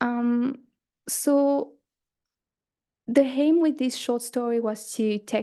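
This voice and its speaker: A dark, mellow voice with a non-native accent speaks at a fairly slow pace. The intonation stays fairly even over a quiet background. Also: woman. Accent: foreign accent, noticeable. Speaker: conference presenter, student writer. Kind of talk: conference talk. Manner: hesitant, many fillers and restarts.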